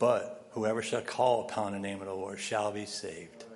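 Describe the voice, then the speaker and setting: Fairly even intonation and a moderate pace from a man with a fairly low pitch, amid noticeable background noise. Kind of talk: congregational prayer. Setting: church. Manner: earnest, repeating 'Father' between phrases.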